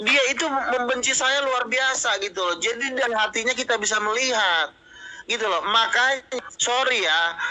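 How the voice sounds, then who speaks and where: With noticeable background noise, a man talks loudly at a moderate pace in an extremely high pitch with ordinary variation. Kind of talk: heated debate.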